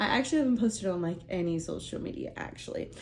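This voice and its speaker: A woman's medium-pitched voice, with ordinary pitch variation, comes through with audible room echo. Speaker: lifestyle vlogger. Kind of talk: casual vlog chat. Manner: chatty, filler-heavy.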